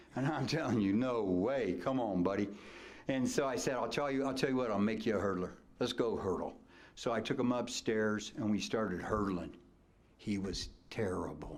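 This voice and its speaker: With an American accent, a man of medium pitch talks at a moderate pace, his loudness very even and his pitch varying an ordinary amount, with audible room echo around him. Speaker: retired track coach. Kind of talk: acceptance speech. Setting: banquet hall with audience. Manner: animated.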